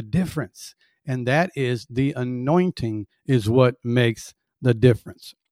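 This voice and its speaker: With a dry, close sound and no echo, a man talks at a fairly slow pace in an ordinary speaking voice, with medium pitch and ordinary pitch variation. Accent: American. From US South. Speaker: podcast host and worship leader. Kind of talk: teaching livestream.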